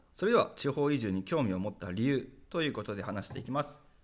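Vocal fry colors the fairly quick delivery in a very clean recording with a silent background. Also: man. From Saitama, Japan. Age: 20s. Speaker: podcast host, rural community volunteer. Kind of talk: solo podcast monologue.

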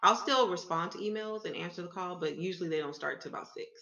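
A woman with a normal speaking voice and a fairly low pitch talks at a fairly quick pace. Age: 20s. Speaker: entrepreneur. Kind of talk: interview.

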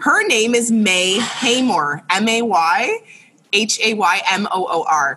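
Speaking very slowly, a woman keeps a very even loudness and lively intonation at a fairly high pitch. Noticeable background noise sits behind her. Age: 30s. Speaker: interior designer. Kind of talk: casual chat.

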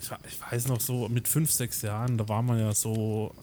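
In a monotone, flat intonation, this man talks at a medium pitch. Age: 30s. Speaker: podcast co-host. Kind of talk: casual chat.

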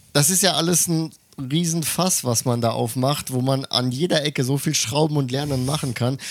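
A man speaks in a normal speaking voice, fairly high-pitched, at a moderate pace, with ordinary pitch variation and very even loudness. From Germany. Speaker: podcast co-host. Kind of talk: casual chat.

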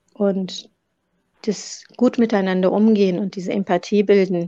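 A woman talks in a monotone with flat intonation and a dark, mellow tone. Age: 40s. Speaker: funeral director and corpse washer. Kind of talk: interview. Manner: halting, many fillers.

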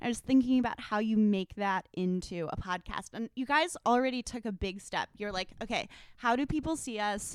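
A woman with an American accent, fairly high in pitch with ordinary pitch variation, at a moderate pace with hardly any pauses, in a dry, close sound with no echo. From US, Washington DC suburbs. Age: 30s. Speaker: author. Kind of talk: casual chat.

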